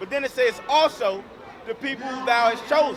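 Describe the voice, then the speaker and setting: Over noticeable background noise, a man talks at a fairly quick pace in an extremely high pitch. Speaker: street preacher. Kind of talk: street preaching. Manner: loud.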